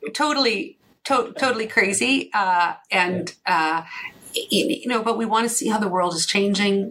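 A woman's voice with lively intonation amid noticeable background noise. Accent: Canadian. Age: 50s. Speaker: financial planner and chartered accountant. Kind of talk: interview.

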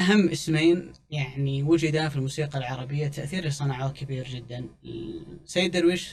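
A man with a fairly high pitch and a somewhat breathy voice talks at a moderate pace. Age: 30s. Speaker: music commentator. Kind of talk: casual chat.

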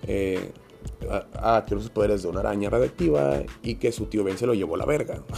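A man with a Mexican accent talks at a fairly quick pace and a fairly low pitch, with ordinary pitch variation. He takes long, frequent pauses while music plays in the background. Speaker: podcast host. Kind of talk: casual monologue. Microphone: home podcast equipment, sounded poor.

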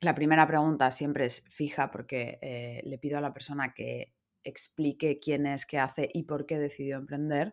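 A woman's voice, very deep and low in pitch, with monotone, flat intonation at a moderate pace, in a very clean recording with a silent background. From Madrid, Spain. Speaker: business consultant and podcaster. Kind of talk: interview.

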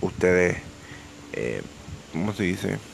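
A man with a Puerto Rican accent speaks at a moderate pace with ordinary pitch variation over noticeable background noise. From Puerto Rico, Ponce (south). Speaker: rapper and podcaster. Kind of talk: casual monologue. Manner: halting, many fillers and repetitions.

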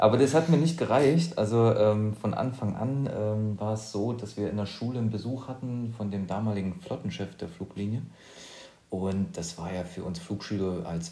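In a room with audible echo, a man talks at a moderate pace in a fairly low voice with ordinary pitch variation. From eastern Germany, near Leipzig. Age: 30s. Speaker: podcast co-host and professional pilot. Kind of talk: casual chat.

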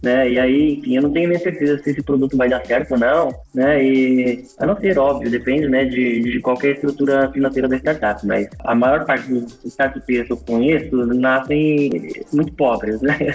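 With music in the background, a man speaks at a moderate pace with hardly any pauses, very even loudness and ordinary pitch variation. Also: medium pitch for a man. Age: 30s. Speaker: startup founder and CEO. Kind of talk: interview.

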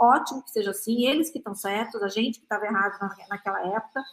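This is a woman with an unremarkable speaking voice. Her pitch is fairly high and her pace fairly quick. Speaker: innovation executive, future-of-work researcher. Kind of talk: panel discussion.

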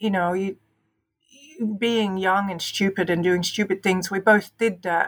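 In an Australian accent, a woman talks at a fairly slow pace with monotone, flat intonation. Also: medium pitch for a woman. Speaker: podcast guest, host's sister. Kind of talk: casual chat.

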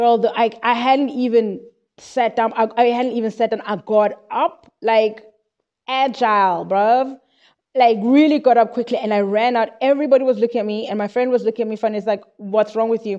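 The speaker has a South African accent and a dark, mellow tone, talking at a fairly quick pace. Intonation is fairly even, and the background is quiet. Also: woman, fairly high pitch for a woman. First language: Xhosa. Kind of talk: informal Bible teaching monologue. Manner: halting, with repetitions.

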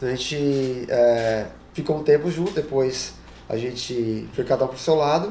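A man's slow-paced speech in a Paulista accent, medium in pitch with ordinary variation, amid noticeable background noise and audible room echo. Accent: Paulista Brazilian Portuguese. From Brazil, São Paulo (ABC region). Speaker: immigrant. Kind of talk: casual chat.

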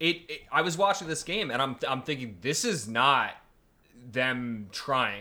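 On a very clean recording with a silent background, a man speaks at a fairly slow pace in a bright, sharp tone. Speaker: football podcast co-host. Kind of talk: casual chat.

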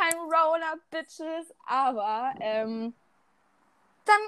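A woman's animated tone. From Germany. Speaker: podcast co-host. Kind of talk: casual chat.

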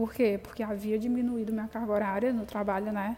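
A fairly high-pitched female voice, dark and mellow in tone. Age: 20s. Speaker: podcast host, young entrepreneur. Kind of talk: solo podcast monologue. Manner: hesitant, many fillers.

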